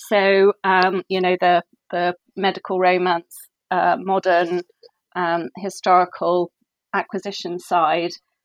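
The sound is close and dry, without echo. A woman talks fairly slowly. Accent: English. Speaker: book editor. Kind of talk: interview. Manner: halting.

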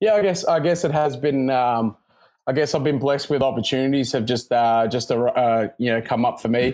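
With an Australian accent, a man talks at a medium pitch with ordinary pitch variation and very even loudness. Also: fairly quick pace. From Sydney, Australia. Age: 20s. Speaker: professional rugby player. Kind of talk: interview.

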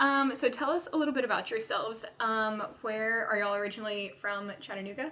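A woman's fairly high-pitched voice with a Southern US accent, fairly quick and with ordinary pitch variation, over noticeable background noise. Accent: US South. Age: 20s. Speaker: podcast host. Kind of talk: casual interview.

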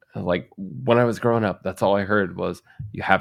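Fairly quick delivery in an ordinary speaking voice, its pitch varying in an ordinary way. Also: man. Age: 30s. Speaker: podcast co-host. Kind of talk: casual chat.

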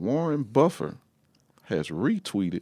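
An American accent carries very wide pitch swings in a very clean, dry, close recording with a silent background and no echo. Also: man. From Shreveport, Louisiana. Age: 30s. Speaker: pastor. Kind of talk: casual interview chat.

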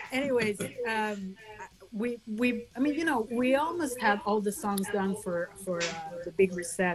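Through noticeable background noise, a woman at medium pitch talks at a fairly slow pace with lively intonation. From Venezuela and France. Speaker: band guitarist. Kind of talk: casual interview chat. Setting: video call.

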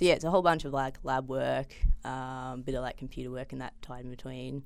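Talking at a fairly quick pace, a woman with an Australian accent has a very deep, low pitch and vocal fry. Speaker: PhD student in biochemistry. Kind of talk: casual interview. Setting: studio.

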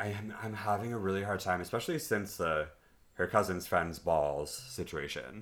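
With an American accent, a man with a plain, everyday voice and a fairly low pitch talks at a moderate pace with lively intonation. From Los Angeles, US. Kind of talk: casual chat.

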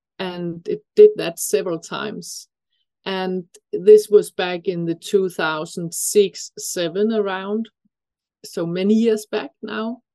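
A woman with a Danish accent speaks at a very slow pace in a dark, mellow tone, the sound dry and close with no echo. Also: big swings in loudness. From Denmark. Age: 50s. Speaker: breathing expert. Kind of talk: interview.

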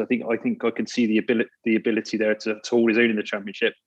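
Against a quiet background, a man at medium pitch talks very fast, the sound dry and close with no echo. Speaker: football fan. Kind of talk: casual chat.

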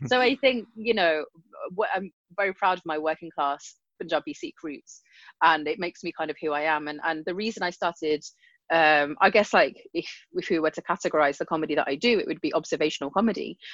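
Recorded dry and close with no echo against a quiet background, a woman with a British accent talks at a fairly quick pace in a fairly low pitch with ordinary pitch variation. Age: 30s. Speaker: comedian. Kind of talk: casual chat.

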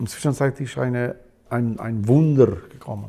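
With an Albanian accent, a man speaks at a medium pitch in a dark, mellow tone and fairly even intonation. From Kosovo. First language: Albanian (speaking German). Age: 60s. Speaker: musician. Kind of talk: casual chat. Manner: halting.

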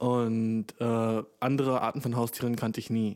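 This man's voice sits at a medium pitch. His tone is dark and mellow. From Germany. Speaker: podcast host. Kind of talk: casual solo podcast monologue. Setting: home recording with new microphone. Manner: animated, slangy.

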